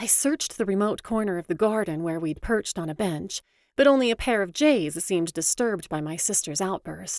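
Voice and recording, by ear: The delivery is reading aloud in a natural voice, carried by lively intonation.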